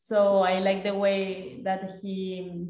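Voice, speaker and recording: A woman speaks at a medium pitch with a Spanish accent. Her tone is dark and mellow, and the room echo is audible. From Colombia. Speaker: design master's student, innovation consultant. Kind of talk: casual interview. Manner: halting, repeats words.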